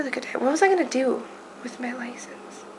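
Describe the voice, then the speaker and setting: Fairly quick speech from a woman amid noticeable background noise. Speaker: vlogger. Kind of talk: casual vlog. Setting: at home. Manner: fast.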